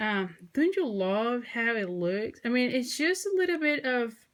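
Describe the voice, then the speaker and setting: With a high pitch, a woman speaks in very wide pitch swings. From Mexico. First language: Spanish. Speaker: craft tutorial creator. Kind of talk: tutorial. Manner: casual, hesitant with fillers.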